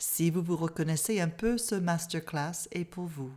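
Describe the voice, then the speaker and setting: With an English Canadian accent, the speaker goes at a fairly slow pace with ordinary pitch variation. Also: woman. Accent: English-speaking Canadian accent in French. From Canada. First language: English (speaking French). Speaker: mindfulness therapist and coach. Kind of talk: online masterclass talk.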